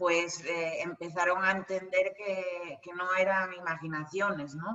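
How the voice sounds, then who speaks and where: Her pitch fairly low, a woman speaks at a fairly slow pace with monotone, flat intonation. Her loudness swings widely. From Spain, El Bierzo (León). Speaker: medium and psychic. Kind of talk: interview. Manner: halting.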